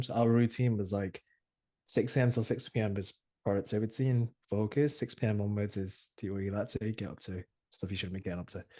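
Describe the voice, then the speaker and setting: With an English accent, a man talks very fast in a dark, mellow tone with fairly even intonation against a quiet background. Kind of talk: casual chat.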